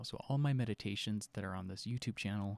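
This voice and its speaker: In a very clean recording with a silent background, a soft-spoken man talks at a fairly quick pace and fairly low pitch, with ordinary pitch variation. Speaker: podcaster and meditation creator. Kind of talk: live unboxing and mic test. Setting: home podcast studio, live stream. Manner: casual, hesitant.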